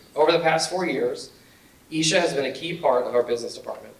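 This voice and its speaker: A man's voice at a fairly quick pace, fairly even in intonation, with audible room echo. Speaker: business teacher. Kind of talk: award speech.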